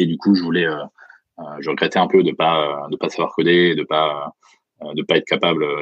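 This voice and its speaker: Long, frequent pauses break up the man's speech, which keeps a moderate pace. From France, Franche-Comté. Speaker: startup founder and CEO. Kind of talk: interview. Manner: hesitant.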